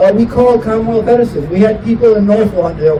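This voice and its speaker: Noticeable background noise is present. The voice carries an American accent. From Chicago South Side. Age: 70s. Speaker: community activist. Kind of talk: press conference speech.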